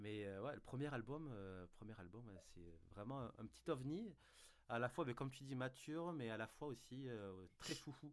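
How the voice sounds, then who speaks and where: Speaking with a southern French accent, a man of medium pitch takes a fairly slow pace with lively intonation. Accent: southern French, sing-song. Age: 30s. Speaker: music fan, band member. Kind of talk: casual chat.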